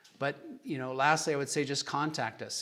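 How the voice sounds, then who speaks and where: This is a normal speaking voice with an American accent. The pace is fairly quick and the intonation fairly even. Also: man. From Kansas, US Midwest. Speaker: chiropractic doctor. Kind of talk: lecture with Q&A. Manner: casual, conversational.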